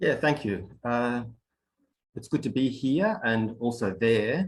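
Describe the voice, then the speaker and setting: Speaking at a very slow pace in an Australian accent, a man holds a medium pitch with ordinary pitch variation. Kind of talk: online workshop presentation.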